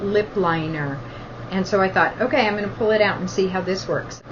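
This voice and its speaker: A woman at medium pitch with ordinary pitch variation, amid audible room echo and noticeable background noise. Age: 50s. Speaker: beauty vlogger. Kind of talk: casual product talk to camera. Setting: at the beach.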